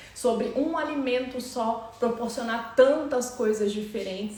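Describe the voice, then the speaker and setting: Speaking at a fairly slow pace, a woman with a fairly high pitch keeps her intonation fairly even, amid noticeable background noise and audible room echo. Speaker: nutritionist and chef. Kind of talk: live stream talk and cooking demo.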